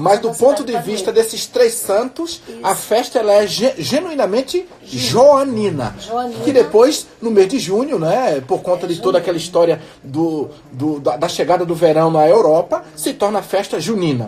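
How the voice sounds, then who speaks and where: A man talks at a moderate pace with hardly any pauses, his pitch high and swinging very widely. Noticeable background noise runs underneath. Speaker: radio guest commentator explaining festival history. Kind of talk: radio talk show. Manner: measured, explanatory, with hesitations.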